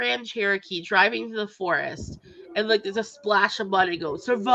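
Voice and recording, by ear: The speaker is reading aloud in a natural voice. The pitch variation is ordinary.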